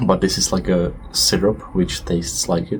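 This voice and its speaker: With a non-native accent, a man speaks very slowly in a very deep, low voice with ordinary pitch variation. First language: not English. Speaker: vlogger. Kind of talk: casual monologue vlog. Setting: outdoors on a balcony. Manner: hesitant, with fillers.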